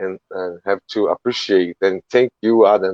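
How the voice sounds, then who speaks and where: With a Portuguese accent, the speaker goes at a moderate pace in a dry, close sound with no echo. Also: man. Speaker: charity organizer. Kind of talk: closing remarks in interview. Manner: halting.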